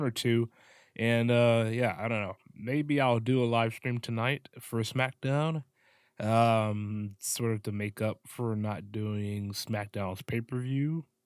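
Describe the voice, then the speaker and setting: A man's very slow, fairly evenly intoned delivery. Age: 20s. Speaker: wrestling podcast host. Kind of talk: casual commentary review. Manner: subdued, low energy; hesitant, many fillers.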